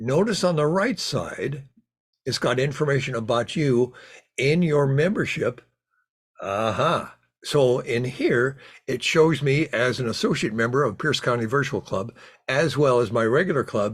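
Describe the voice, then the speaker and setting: Somewhat breathy, this voice moves at a moderate pace with ordinary pitch variation. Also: man. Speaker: Lions club trainer. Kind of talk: online training session. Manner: halting, with repetitions.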